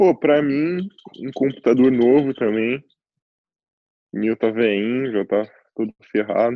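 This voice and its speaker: A man at a very slow pace, broken by long, frequent pauses. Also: medium pitch for a man, ordinary pitch variation. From Curitiba, Brazil. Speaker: fashion model. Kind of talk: casual chat.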